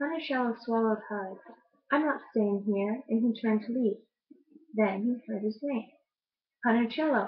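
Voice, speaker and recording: A soft-spoken, somewhat breathy woman's voice, fairly high in pitch, with ordinary pitch variation at a moderate pace. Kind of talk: picture book read aloud.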